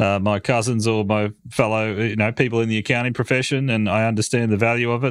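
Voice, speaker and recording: This man has an Australian accent and a medium pitch, speaking at a fairly quick pace. His intonation is monotone and flat, and the recording is very clean with a silent background. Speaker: podcast host.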